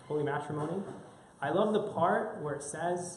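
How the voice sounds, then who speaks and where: Someone with an American accent speaks at a fairly quick pace with ordinary pitch variation. Noticeable background noise and audible room echo are present. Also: man. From United States. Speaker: church youth speaker. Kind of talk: talk to a church group. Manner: halting, many fillers and repetitions.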